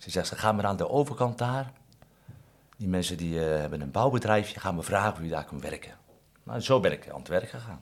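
A man talks fairly quickly with lively intonation. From Netherlands, Katwijk. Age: 50s. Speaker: fishmonger. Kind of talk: interview. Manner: halting.

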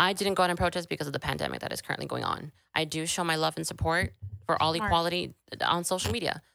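A woman's very fast American accent, fairly low in pitch, bright and sharp in tone, with vocal fry. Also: ordinary pitch variation. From Brownsville, Texas. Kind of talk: casual interview.

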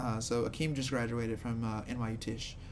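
With audible room echo, the speaker talks at a fairly slow pace and with fairly even intonation. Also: man. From Louisiana, Shreveport. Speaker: comedian and comedy producer. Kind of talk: casual chat.

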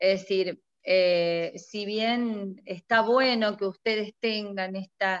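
A woman with a medium pitch talks very slowly, her intonation fairly even. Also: hardly any pauses. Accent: Argentine. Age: 50s. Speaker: retired chemistry teacher and school principal. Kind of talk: casual interview.

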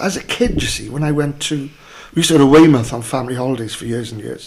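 A man talks at a very fast pace with ordinary pitch variation. Noticeable background noise runs under his voice. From Wales, south Wales valleys (Merthyr area). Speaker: actor. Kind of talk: casual chat.

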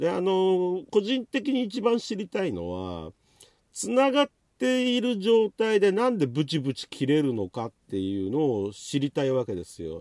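A high-pitched man at a moderate pace, with very wide pitch swings, dry close sound free of echo, and a very clean, silent-background recording. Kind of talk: solo monologue podcast, casual chat. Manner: casual, rambling with fillers.

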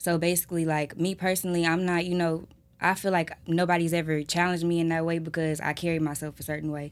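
In an American accent, a woman talks at a very fast pace in a fairly low, monotone, flat voice on a very clean recording with a silent background. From Houston, Texas. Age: 20s. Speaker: video model. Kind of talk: casual chat.

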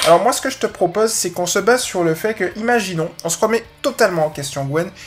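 Energetic in tone, a man talks at a very fast pace with ordinary pitch variation over noticeable background noise. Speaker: dog trainer podcast host. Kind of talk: casual solo podcast answering a listener question. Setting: live recording with background music.

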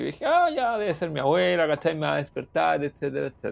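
A man speaks with a Chilean accent. His pace is very fast. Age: 20s. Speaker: podcast host. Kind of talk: casual chat.

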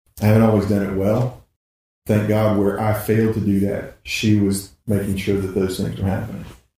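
In a Southern US accent, a man speaks at a moderate pace with a fairly low, somewhat breathy, dark, mellow tone and monotone, flat intonation, with audible room echo. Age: 50s. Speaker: pastor. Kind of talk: casual chat.

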